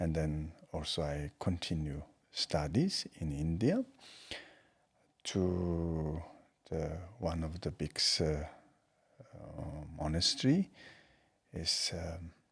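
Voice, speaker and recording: The voice is somewhat breathy, with fairly even intonation and a very slow pace. Long pauses come often. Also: man, very deep, low pitch for a man. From Tibet. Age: 40s. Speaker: Buddhist teacher. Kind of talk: interview. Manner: halting.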